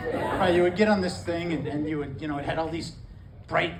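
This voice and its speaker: A man speaks with a fairly high pitch. Noticeable background noise and audible room echo fill the recording. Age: 60s. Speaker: stand-up comedian. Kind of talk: stand-up. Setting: stage with audience. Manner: halting.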